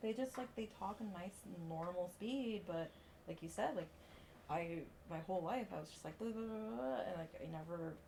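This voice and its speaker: Noticeable background noise is present. The speaker's intonation stays lively. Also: woman, fairly low pitch for a woman. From Puerto Rico. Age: 30s. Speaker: strongman athlete. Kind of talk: casual podcast chat. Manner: fast.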